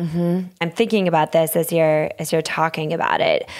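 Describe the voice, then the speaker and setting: A woman with an American accent has an unremarkable speaking voice, fairly low in pitch, delivered at a moderate pace with fairly even intonation on a very clean recording with a silent background. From Minnesota. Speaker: podcast host. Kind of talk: interview.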